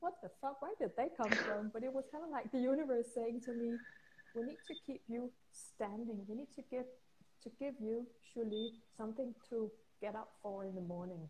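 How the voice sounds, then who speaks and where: A woman talks with a fairly high pitch and ordinary pitch variation at a moderate pace, with noticeable noise behind her. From Denmark. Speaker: intuitive healer and coach. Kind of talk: interview. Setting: video call, instagram live.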